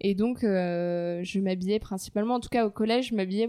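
The woman's tone is dark and mellow. She speaks at a medium pitch with ordinary pitch variation. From France, Paris. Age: 20s. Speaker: fashion brand co-founder and art director. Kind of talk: casual interview. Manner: halting, many repetitions.

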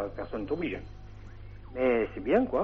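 This man's voice sits at a medium pitch. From Hautes-Pyrénées, southwest France. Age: 50s. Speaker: caller. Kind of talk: call-in chat. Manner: halting.

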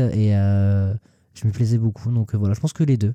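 A man speaks at a very fast pace with fairly even intonation and a dark, mellow tone. The sound is dry and close, with no echo. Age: 20s. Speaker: Instagram influencer. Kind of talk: casual interview.

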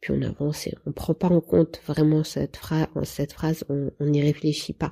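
Speaking at a fairly slow pace, a woman has a very deep, low pitch, a dark, mellow tone, a somewhat breathy quality and monotone, flat intonation. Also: dry, close sound with no echo. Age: 30s. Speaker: patient sharing her therapy experience. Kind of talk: testimony. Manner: halting.

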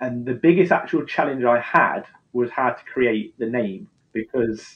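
His speed is moderate, neither rushed nor dragging. The man's voice rises and falls in a typical way. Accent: East Midlands. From England, Leicester. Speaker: skincare brand founder. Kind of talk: interview.

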